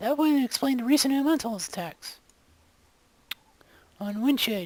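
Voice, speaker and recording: A woman performs a put-on character voice, high in pitch. She moves at a moderate pace with lively intonation. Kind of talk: video game voice acting. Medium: video game.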